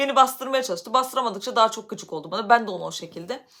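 The voice is raised and projected, with lively intonation. It moves at a very fast pace. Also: woman. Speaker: YouTuber. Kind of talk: personal vlog storytelling. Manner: loud.

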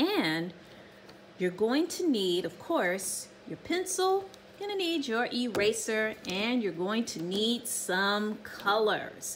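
Against noticeable background noise, a woman speaks at a fairly slow pace. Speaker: art teacher. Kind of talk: tutorial. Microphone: phone near.

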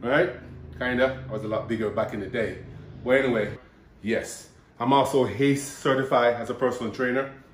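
A man at a fairly quick pace broken by long, frequent pauses, with audible room echo and light background noise. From Jamaica. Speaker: bodybuilder and personal trainer; personal trainer. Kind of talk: casual vlog intro. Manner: animated. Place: kitchen.

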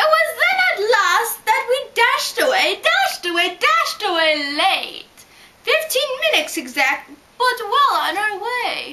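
Put-on character voice, female-sounding, at an extremely high pitch with very wide pitch swings and a fairly slow pace. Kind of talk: rhyming story reading.

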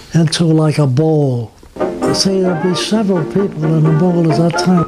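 With music in the background, a man with a Brooklyn accent speaks in a fairly high pitch. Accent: New York (Brooklyn). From Brooklyn, New York. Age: 80s+. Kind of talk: interview answer, reminiscing. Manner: hesitant, conversational.

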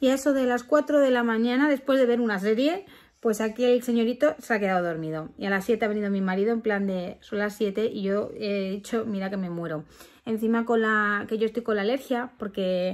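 A woman's pitch rises and falls in an ordinary way. She moves at a fairly quick pace. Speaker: parent vlogger. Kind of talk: casual vlog chat. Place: home room. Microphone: phone near.

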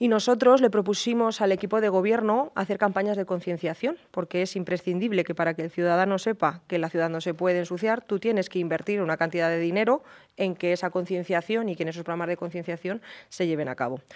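Talking at a very fast pace, a woman shows ordinary pitch variation. The background is quiet. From Spain, Cuenca (Castilla-La Mancha); Castilla-La Mancha. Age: 30s. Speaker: politician. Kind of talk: interview. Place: studio. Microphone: studio mic.

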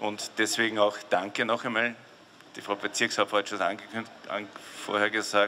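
There is light background noise as a man talks in a fairly low pitch. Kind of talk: public welcome speech. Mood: jovial, proud, joking. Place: street. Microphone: handheld.

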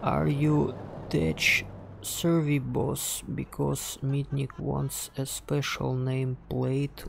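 A man with a Russian accent talks at a very slow pace. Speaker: game streamer. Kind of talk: casual gameplay commentary.

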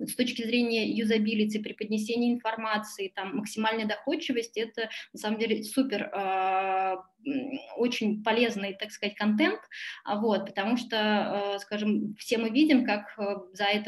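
A woman's somewhat breathy, fairly high voice at a moderate pace, with fairly even intonation, big swings in loudness, and a quiet background. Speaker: tax consultancy director. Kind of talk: webinar presentation. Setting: video call. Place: home room. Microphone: webcam.

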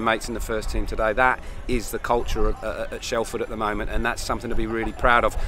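Clear music plays behind a man who talks at a very fast pace, the sound dry with no echo. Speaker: rugby coach. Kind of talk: interview answer. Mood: happy, proud after win.

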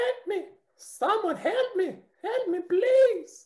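A put-on character voice at an extremely high pitch stretches its words out at a very slow pace. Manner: scared, pleading.

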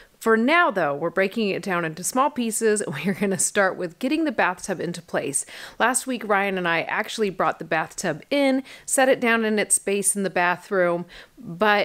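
In a quiet background, a woman speaks at a moderate pace with lively intonation. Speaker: home builder vlogger. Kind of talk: casual vlog chat. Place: home room. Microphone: phone near.

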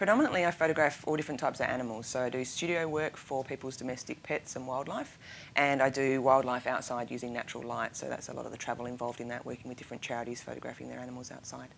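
Over light background noise, a woman with a very deep, low pitch talks at a very fast pace with big swings in loudness. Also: ordinary pitch variation, hardly any pauses. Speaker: guest. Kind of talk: interview answer. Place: studio. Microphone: lapel.

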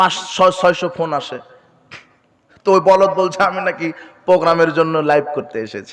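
A man's high-pitched voice shows big swings in loudness. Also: ordinary pitch variation. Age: 20s. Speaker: Islamic preacher. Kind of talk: sermon.

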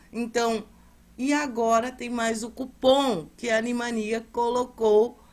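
Her voice sits at a high pitch. This woman speaks at a very slow pace. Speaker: seller. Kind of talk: sales pitch. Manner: repeats urgent calls to act.

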